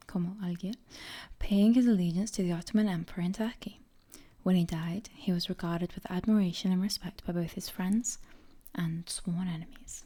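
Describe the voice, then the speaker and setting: A woman's voice, somewhat breathy with a dark, mellow tone, keeps a fairly even intonation. The recording is very clean, with a silent background. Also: medium pitch for a woman, moderate pace. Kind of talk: whispered ASMR book reading. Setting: close microphone, audible breathing. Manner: soft, whispered, cozy.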